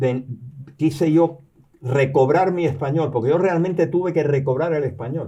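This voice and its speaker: A man's voice carries a dark, mellow tone. It sounds somewhat breathy. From Cuba, raised there after birth in New York. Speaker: retired professor and novelist. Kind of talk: interview. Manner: halting, many repetitions and fillers.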